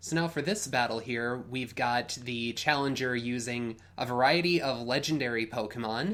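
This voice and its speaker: A man with an unremarkable speaking voice talks at a moderate pace and medium pitch, with ordinary pitch variation. He uses hardly any pauses, and the recording is very clean with a silent background. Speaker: podcast co-host auditioning as Pokemon tournament commentator. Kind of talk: sports-style esports commentary.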